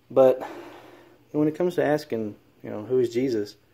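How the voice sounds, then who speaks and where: A man with a Southern accent and a dark, mellow tone. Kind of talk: casual commentary. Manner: hesitant, many fillers.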